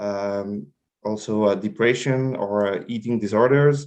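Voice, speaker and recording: At a fairly slow pace, a man with a French accent speaks at a medium pitch with ordinary pitch variation. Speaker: health project manager. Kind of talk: presentation. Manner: halting, many fillers.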